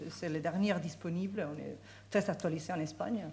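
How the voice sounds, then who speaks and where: A woman with a Spanish accent and a fairly low pitch speaks with ordinary pitch variation amid audible room echo. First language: Spanish (speaking French). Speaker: law professor. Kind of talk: conference talk. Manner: halting, many hesitations.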